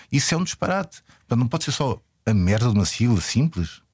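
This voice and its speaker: A man's voice sounds somewhat breathy. The recording is very clean, with a silent background. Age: 40s. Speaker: filmmaker. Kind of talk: interview. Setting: radio studio. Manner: halting.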